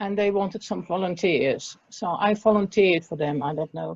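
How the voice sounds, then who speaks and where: With a Dutch accent, a woman speaks in a dark, mellow tone with lively intonation. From Netherlands. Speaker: restorative justice practitioner and prison support worker. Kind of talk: interview.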